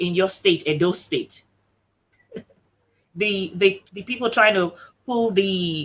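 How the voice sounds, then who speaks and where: A woman speaks loudly. Her pace is fairly slow. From Nigeria. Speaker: talk show host. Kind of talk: online show interview.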